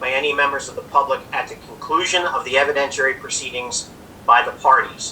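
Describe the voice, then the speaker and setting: Moderate pace over noticeable background noise. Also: man. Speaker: lawyer chairing a township hearing. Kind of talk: formal public hearing procedure. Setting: video call. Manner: loud; formal.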